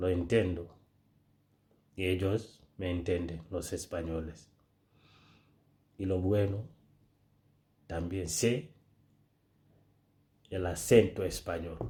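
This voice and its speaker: In a Senegalese accent, a man with a very deep, low pitch and a dark, mellow tone speaks very slowly and somewhat breathily, his intonation fairly even and his pauses long and frequent. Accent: West African (Senegalese) accent in Spanish. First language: Pular (Fulfulde) (speaking Spanish). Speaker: social media creator. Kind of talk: casual vlog monologue.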